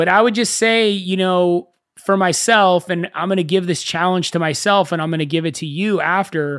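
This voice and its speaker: Speaking in a high pitch, a man keeps a moderate pace and fairly even intonation. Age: 30s. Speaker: podcast host. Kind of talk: solo podcast monologue.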